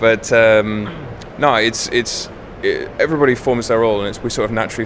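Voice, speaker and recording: The speech comes at a very fast pace. Noticeable background noise runs underneath. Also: man. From England. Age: 20s. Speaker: professional gamer, guild raid leader. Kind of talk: interview. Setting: gaming convention.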